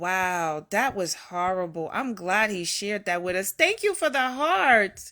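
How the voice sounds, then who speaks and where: A woman with a Newark accent speaks at a fairly slow pace with hardly any pauses, using a medium pitch, lively intonation, and a bright, sharp tone. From New York, the Bronx. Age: 50s. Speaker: live-stream host. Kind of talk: casual live-stream chat.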